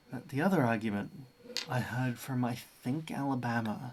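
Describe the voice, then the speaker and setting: A man talks at a fairly quick pace and medium pitch with ordinary pitch variation. Noticeable background noise sits behind him. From Australia. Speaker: streamer. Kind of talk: casual chat. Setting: live stream.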